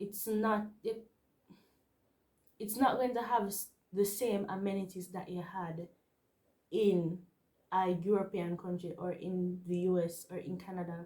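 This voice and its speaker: Speaking slowly with long, frequent pauses, a woman with a Jamaican accent has a medium-pitched, somewhat breathy voice, a dark, mellow tone and fairly even intonation. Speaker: vlogger and university student. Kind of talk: casual vlog talk to camera.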